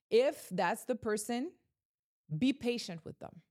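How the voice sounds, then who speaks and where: On a very clean recording with a silent background, a woman speaks at a moderate pace with an energetic tone and lively intonation. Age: 30s. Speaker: podcast host and realtor. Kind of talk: motivational monologue.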